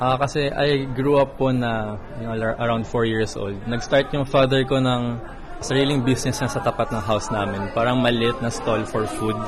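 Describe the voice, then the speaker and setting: A man talks at a moderate pace with fairly even intonation and a medium pitch. Room echo is audible, and crowd noise sits in the background. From Philippines. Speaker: chef. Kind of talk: speech; interview.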